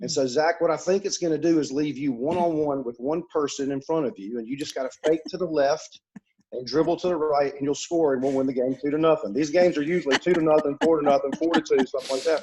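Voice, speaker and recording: Talking at a very fast pace with hardly any pauses, a man with an Alabama accent has a fairly high pitch, a dark, mellow tone and ordinary pitch variation. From US South, Mobile, Alabama. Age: 40s. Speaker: author, speaker and coach. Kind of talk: podcast interview. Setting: podcast.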